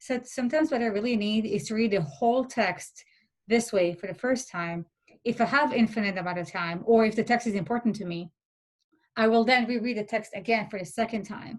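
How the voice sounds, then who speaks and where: Her pace is fairly quick, and she has a non-native accent. This woman's voice is somewhat breathy and fairly high in pitch. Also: ordinary pitch variation. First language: not English. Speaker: philosophy peer tutor. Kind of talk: workshop talk. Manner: hesitant, many fillers.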